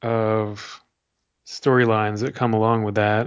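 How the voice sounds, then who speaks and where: At a medium pitch, a man talks at a moderate pace with fairly even intonation. He has an ordinary speaking voice. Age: 30s. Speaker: sports writer and podcast co-host. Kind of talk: casual chat.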